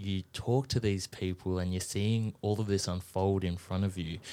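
A man with an Australian accent speaks at a very deep, low pitch and a fairly slow pace with fairly even intonation, in a very clean recording with a silent background. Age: 20s. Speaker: radio presenter. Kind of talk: casual interview. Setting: studio.

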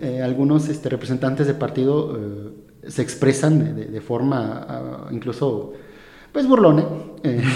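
Against noticeable background noise, a man with a medium pitch speaks with fairly even intonation. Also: fairly slow pace. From Mexico, Hidalgo. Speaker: lawyer working for an electoral body. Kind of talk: casual interview. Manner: halting, many repetitions.

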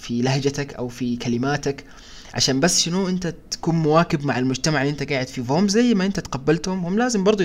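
A normal speaking voice at a moderate pace with lively intonation. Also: man. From Sudan, partly raised in Saudi Arabia. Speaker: podcast co-host. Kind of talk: casual discussion.

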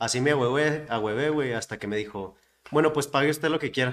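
Using a plain, everyday voice, a man talks at a fairly quick pace and fairly high pitch, with ordinary pitch variation. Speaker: podcast host. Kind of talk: casual chat.

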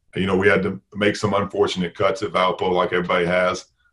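A man speaks at a very fast pace in a very deep, low voice, his intonation monotone and flat. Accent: American. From US South, Tennessee. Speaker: college basketball coach. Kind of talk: interview. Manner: halting.

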